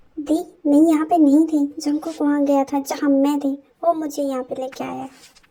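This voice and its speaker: In a put-on character voice, a woman speaks high and fairly quickly with a flat, monotone delivery. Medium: read story. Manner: meek, pleading.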